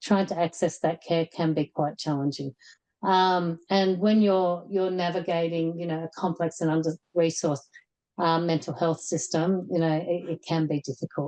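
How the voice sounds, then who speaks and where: A woman with an Australian accent speaks at a fairly low pitch in a dark, mellow tone. Her intonation stays fairly even, and the sound is dry and close with no echo. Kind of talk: webinar presentation. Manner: halting, many fillers and repetitions.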